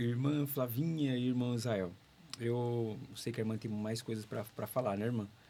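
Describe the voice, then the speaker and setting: This man speaks at a moderate pace with a medium pitch. His tone is dark and mellow, and his intonation is fairly even. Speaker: radio host. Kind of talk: interview.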